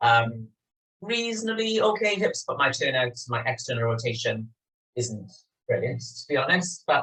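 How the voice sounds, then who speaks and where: Using very wide pitch swings, a man with a Welsh accent and a fairly high voice speaks at a moderate pace. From Wales, Swansea. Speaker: yoga teacher. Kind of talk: guided yoga class. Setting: home studio, filmed over video call.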